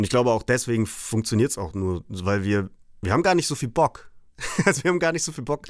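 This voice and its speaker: Talking at a very fast pace, a man of medium pitch makes very wide pitch swings. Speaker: punk band frontman. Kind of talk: casual chat. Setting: remote connection.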